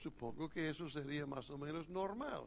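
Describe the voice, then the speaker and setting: A man speaks very slowly in a fairly high voice, with ordinary variation in pitch. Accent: strong North American. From United States. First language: English (speaking Spanish). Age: old. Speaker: pastor. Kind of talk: sermon. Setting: church retreat, seated.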